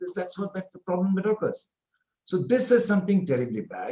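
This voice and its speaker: A man speaks with an Indian accent at a high pitch for a man. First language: Hindi. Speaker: professor. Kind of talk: interview.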